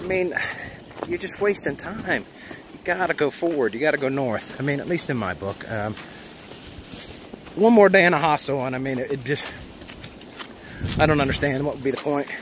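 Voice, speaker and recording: Over noticeable background noise, a man with a fairly high pitch talks at a fairly quick pace with lively intonation and long, frequent pauses. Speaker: hiker vlogger. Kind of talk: casual vlog narration. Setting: outdoors on mountain trail.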